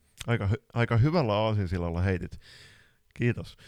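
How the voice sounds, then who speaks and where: In a very clean recording with a silent background, a man talks at a moderate pace with a fairly low pitch, ordinary pitch variation, and an unremarkable speaking voice. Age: 20s. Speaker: floorball podcast co-host and coach. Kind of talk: casual chat.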